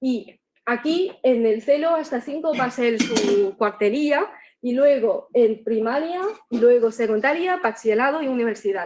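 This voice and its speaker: A woman's high voice with a Chinese accent, fairly slow pace and ordinary pitch variation. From China. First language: Chinese (speaking Spanish). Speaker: doctoral student presenter. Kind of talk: academic presentation. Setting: conference room, also streamed online. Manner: halting, with frequent fillers.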